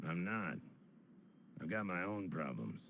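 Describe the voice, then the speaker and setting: A man's put-on character voice, very deep and raspy, with lively intonation at a fairly slow pace over clear background noise. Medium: video game. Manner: terse, gruff, hard-boiled.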